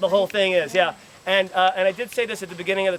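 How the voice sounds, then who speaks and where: A man talks at a very fast pace with an American accent. Noticeable background noise sits behind him. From New York. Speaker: school tour guide. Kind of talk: guided tour talk to visitors. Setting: outdoors.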